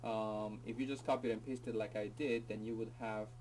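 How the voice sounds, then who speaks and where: Over noticeable background noise, a man speaks at medium pitch in a flat monotone. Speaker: teacher. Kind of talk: tutorial. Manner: fast; casual, hesitant with fillers.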